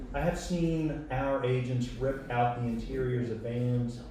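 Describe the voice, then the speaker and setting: Spoken at a very slow pace with fairly even intonation, the clip carries audible room echo and noticeable background noise. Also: man. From Arizona, Tucson. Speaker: poet. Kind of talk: poetry reading.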